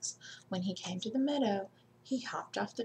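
Someone reads aloud in a natural voice.

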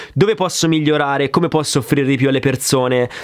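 A man speaks against a quiet background. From Grosseto, Tuscany. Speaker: drummer and drum YouTuber. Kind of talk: casual Q&A chat. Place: studio.

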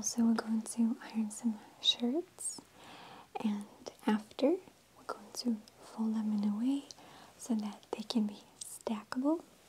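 Over light background noise, a soft-spoken woman talks very slowly with long, frequent pauses, at a fairly high pitch with ordinary variation. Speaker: ASMR creator. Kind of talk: ASMR ironing tutorial. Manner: lip-smacking, sassy. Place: home room.

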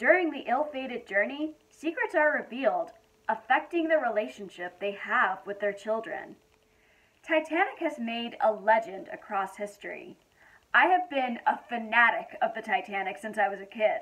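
At a moderate pace, a woman talks in a high voice. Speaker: film reviewer. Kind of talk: casual film review. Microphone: phone near.

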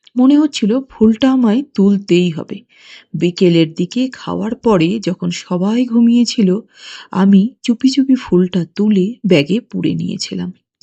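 A woman's somewhat breathy voice at medium pitch, dark and mellow in tone, with ordinary pitch variation, recorded dry and close with no echo over a quiet background. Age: 60s. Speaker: anonymous listener confessing. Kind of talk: recorded confession testimony.

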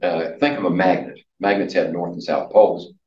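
A man speaking at a moderate pace, with audible room echo. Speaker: college chemistry instructor. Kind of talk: lecture. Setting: classroom. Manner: halting, many filler words. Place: classroom.

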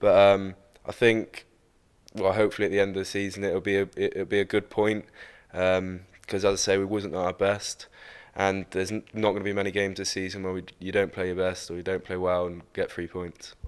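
A man speaks low with little pitch movement. His tone is clear and smooth, and his pace fairly quick.

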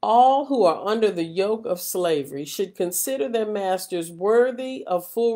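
Against a quiet background, a woman with a dark, mellow tone speaks fairly slowly with lively intonation. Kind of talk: scripture reading. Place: home room. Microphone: webcam.

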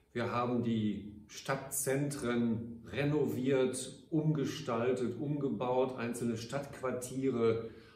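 Audible room echo carries a man's somewhat breathy voice with ordinary pitch variation. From Ruhr area, Germany (Gelsenkirchen); Germany. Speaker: mayor. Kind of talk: farewell address to citizens. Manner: formal. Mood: warm, grateful, measured. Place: office.

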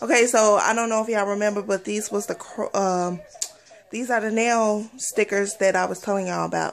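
A woman speaks at medium pitch and a moderate pace, her tone playful and her intonation fairly even.

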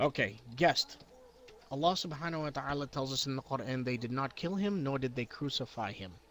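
Here a man speaks with a fairly high pitch and lively intonation, at a fairly quick pace. It is a normal speaking voice. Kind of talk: heated argument. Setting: online voice chat room. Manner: rapid-fire, hectoring, preachy; loud, combative, talking over others.

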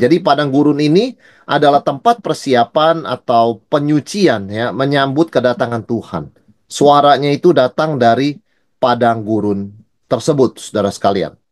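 With lively intonation and a moderate pace, a man's voice comes through over a quiet background. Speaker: pastor teaching Bible study. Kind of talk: lecture. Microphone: webcam.

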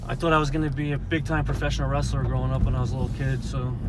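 Clear music plays in the background as a man talks at a very fast pace in a dry sound with no echo. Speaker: interviewee. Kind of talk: interview answer. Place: car.

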